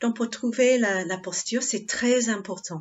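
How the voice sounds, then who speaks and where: Speaking very slowly with an English accent, a woman uses ordinary pitch variation. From England. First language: English (speaking French). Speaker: Buddhist nun, meditation teacher. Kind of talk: dharma talk. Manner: halting, many hesitations.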